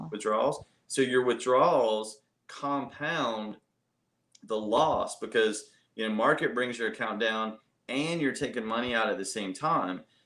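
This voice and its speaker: A man with an American accent, a medium pitch, ordinary pitch variation and a fairly slow pace. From US South, central North Carolina. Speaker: investment advisor. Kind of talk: interview. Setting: live stream. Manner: halting, many fillers.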